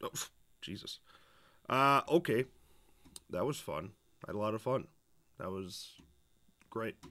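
A man speaks at a fairly slow pace, with long, frequent pauses. His tone is bright, sharp and animated. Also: lively intonation. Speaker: gaming streamer; live streamer. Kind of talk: casual live stream commentary. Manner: animated, rambling. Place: home room.

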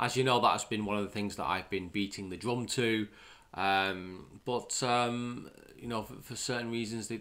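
An unremarkable speaking voice from a man, fairly low in pitch, with ordinary pitch variation, big swings in loudness and a moderate pace. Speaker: channel host commenting on news. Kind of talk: commentary. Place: home room.

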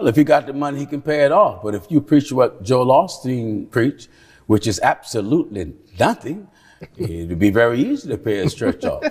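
A man's voice at a moderate pace, with very wide pitch swings and vocal fry, over a quiet background. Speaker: preacher. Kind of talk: sermon answer to questions. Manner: forceful, emphatic. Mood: firm, critical, preaching tone. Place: studio. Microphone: lapel.

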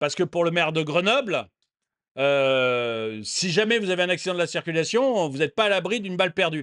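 A man speaks at a high pitch and a fairly quick pace, with lively intonation. The sound is dry and close with no echo, over a quiet background. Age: 50s. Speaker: political commentary YouTuber. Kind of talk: commentary monologue reacting to a news video. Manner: animated, repetitive emphasis.

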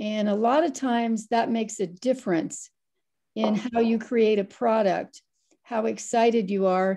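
A woman's fairly high-pitched voice in an American accent, dark and mellow in tone, at a fairly slow pace with ordinary pitch variation and very even loudness, over a quiet background. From US Midwest, Ohio. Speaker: moderator and journalism editor; moderator. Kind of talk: moderating an online seminar. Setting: video call. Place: home room. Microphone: video call.

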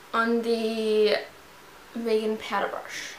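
There is audible room echo and light background noise as a woman speaks. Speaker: beauty vlogger. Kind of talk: tutorial. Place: home room. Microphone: camera far.

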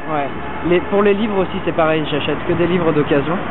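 A man talks at a fairly quick pace over loud background noise, the sound dry with no echo. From France. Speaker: street style interviewee. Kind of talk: street interview answer. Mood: relaxed, friendly. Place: street.

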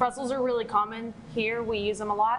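Her tone is fairly bright, with little pitch movement. The woman talks at a fairly quick pace. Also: fairly high pitch for a woman.

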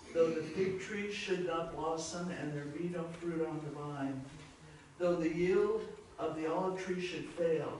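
Strong room echo and light background noise surround speech delivered at a fairly slow pace. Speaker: congregation member leading prayer. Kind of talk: public prayer. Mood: reverent, earnest. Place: church.

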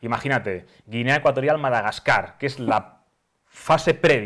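The background is quiet while a man talks with ordinary pitch variation. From Spain, Catalonia (Sabadell); Catalonia, Spain. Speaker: former footballer, sports communicator; guest. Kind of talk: casual chat. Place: studio. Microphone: lapel.

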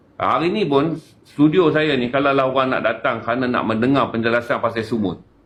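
In an unremarkable speaking voice, a man talks at a medium pitch with ordinary pitch variation. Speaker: activist. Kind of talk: casual chat.

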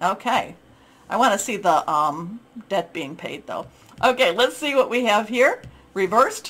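A woman with a warm tone speaks at a moderate pace with lively intonation. Noticeable background noise runs underneath. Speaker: tarot reader. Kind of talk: tarot reading video. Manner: informal, rambling, warm.

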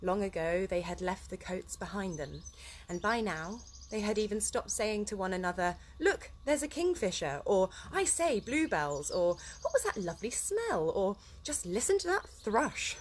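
A woman's speech moves at a moderate pace, with light background noise behind it. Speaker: story reader. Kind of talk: reading aloud a children's book. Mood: relaxed, cheerful. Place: garden. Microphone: phone near.

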